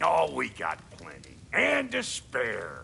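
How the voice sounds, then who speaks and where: A man's gruff, raspy put-on character voice at a very slow pace, over clear background noise. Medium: video game. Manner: gruff, slangy, swearing.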